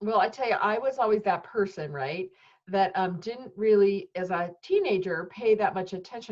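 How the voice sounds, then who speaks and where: Here is a woman with an ordinary speaking voice. Her pitch is medium and her pace moderate. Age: 50s. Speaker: podcast host. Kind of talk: interview. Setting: video interview.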